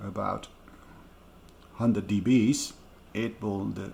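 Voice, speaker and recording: A man speaks in a somewhat breathy voice at a fairly low pitch. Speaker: DIY audio speaker builder. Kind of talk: casual tutorial talk to camera.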